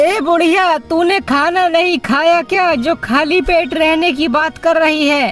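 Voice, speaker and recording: A cartoonish character voice that sounds female, extremely high-pitched and at a fairly slow pace, plays over clear music in the background. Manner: coarse, blunt.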